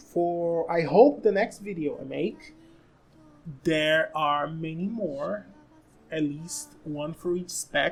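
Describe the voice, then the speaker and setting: Speaking in a Brazilian Portuguese accent, the voice moves at a very slow pace. It has long, frequent pauses and ordinary pitch variation. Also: woman, fairly low pitch for a woman. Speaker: gaming content creator. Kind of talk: casual monologue. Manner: halting, frequent restarts.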